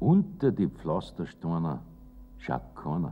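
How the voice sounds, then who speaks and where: With vocal fry, a man talks at a fairly slow pace. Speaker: poet reciting own poem. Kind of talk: poetry reading. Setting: old recording with treble loss. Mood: warm, lively, humorous.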